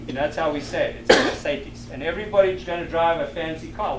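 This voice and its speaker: There is noticeable background noise. Room echo is audible as well. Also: man. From South Africa. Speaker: lecturer on sustainable agriculture. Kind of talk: lecture. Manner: casual, conversational.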